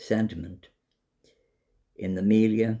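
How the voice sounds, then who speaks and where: A man with a dark, mellow tone speaks at a fairly slow pace, his intonation fairly even. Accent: Dublin. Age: 70s. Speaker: vlogger. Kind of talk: monologue to camera.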